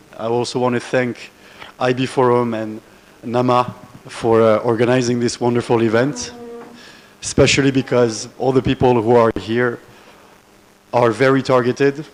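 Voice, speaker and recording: Against noticeable background noise, a man talks at a medium pitch and a moderate pace in a monotone, flat intonation. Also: long, frequent pauses. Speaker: conference speaker. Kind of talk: conference presentation. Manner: halting, with fillers.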